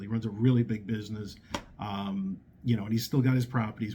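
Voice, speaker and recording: A man's somewhat breathy voice in a New York accent, dark and mellow in tone, fairly even in intonation, at a fairly quick pace. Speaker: hard money lender. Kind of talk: casual talk to camera. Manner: hesitant, many fillers.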